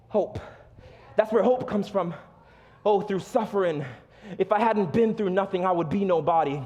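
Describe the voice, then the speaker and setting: A man's high voice in an American accent, moderate in pace with ordinary pitch variation and long, frequent pauses, against noticeable background noise. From South Florida. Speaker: pastor. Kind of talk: sermon. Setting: church stage with congregation. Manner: animated.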